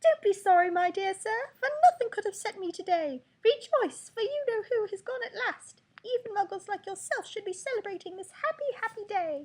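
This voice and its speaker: A put-on character voice, squeaky and pitched extremely high, does the talking. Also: moderate pace. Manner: joyful, exuberant.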